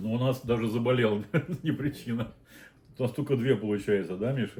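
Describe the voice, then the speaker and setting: Moderately paced speech from a man, dark and mellow in tone and somewhat breathy. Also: medium pitch for a man, ordinary pitch variation. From Azerbaijan (Baku). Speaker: mukbang host, father. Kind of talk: casual chat while eating on a live stream.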